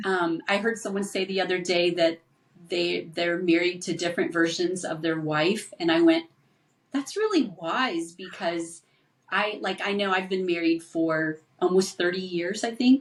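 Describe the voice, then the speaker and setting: An ordinary speaking voice, fairly slow in pace and ordinary in pitch variation. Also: woman, fairly low pitch for a woman. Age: 60s. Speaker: counselor. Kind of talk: casual chat.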